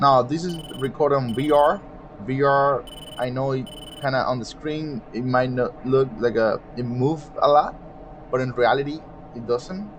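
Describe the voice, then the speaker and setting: A man at a medium pitch with a non-native accent, fairly slow pace and ordinary pitch variation, over noticeable background noise. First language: not English. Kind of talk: gameplay commentary. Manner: casual, explanatory.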